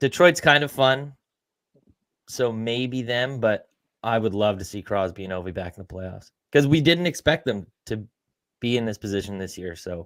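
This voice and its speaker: Recorded very cleanly with a silent background and a dry, close sound with no echo, a man speaks at a moderate pace in a medium pitch. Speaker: sports betting podcast co-host. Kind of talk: casual chat. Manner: loud.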